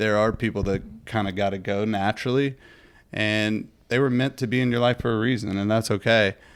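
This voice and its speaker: A plain, everyday voice at a moderate pace, with fairly even intonation. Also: man, very clean recording, silent background. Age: 30s. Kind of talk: casual chat. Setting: podcast.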